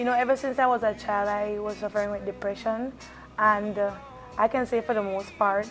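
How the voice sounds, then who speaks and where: Music plays in the background as a woman with a fairly high pitch talks at a fairly quick pace. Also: fairly even intonation. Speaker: pageant queen. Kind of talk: interview. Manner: fast.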